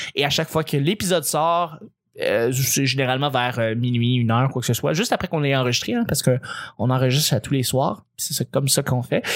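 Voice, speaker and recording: In a very clean recording with a silent background, a man of medium pitch talks at a fairly quick pace with ordinary pitch variation and very even loudness. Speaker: podcast host. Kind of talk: casual chat. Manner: animated.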